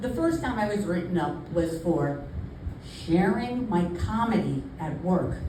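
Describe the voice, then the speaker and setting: Through noticeable background noise and audible room echo, a woman with an American accent and fairly low pitch speaks at a fairly slow pace with lively intonation. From New York. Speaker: comedian. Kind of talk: stand-up.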